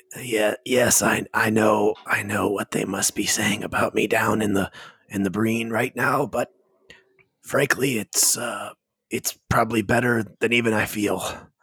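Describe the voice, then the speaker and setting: A raspy, put-on character voice moves at a moderate pace with monotone, flat intonation, in a dry, close sound with no echo. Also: man, medium pitch for a man. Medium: actual play. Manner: halting, hesitant, repetitive.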